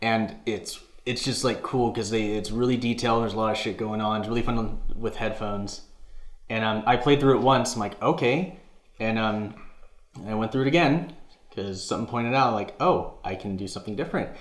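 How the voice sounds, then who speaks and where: A man at medium pitch and a fairly quick pace, with audible room echo. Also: ordinary pitch variation. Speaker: gaming podcast co-host. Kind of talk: casual chat. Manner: halting, stuttering.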